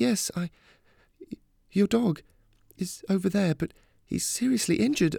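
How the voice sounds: A man puts on a character voice, high-pitched yet dark and mellow in tone, with vocal fry and ordinary pitch variation. He goes at a fairly slow pace in a dry, close sound with no echo, on a very clean recording with a silent background.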